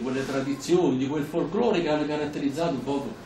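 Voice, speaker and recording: A man's voice carries audible room echo, with light background noise behind it. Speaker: speaker. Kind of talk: public talk with anecdotes. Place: hall. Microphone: camera far.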